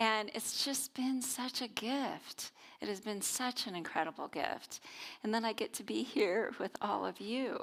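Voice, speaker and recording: A woman speaks at a fairly high pitch with vocal fry. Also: ordinary pitch variation, fairly slow pace. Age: 50s. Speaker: minister. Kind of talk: sermon.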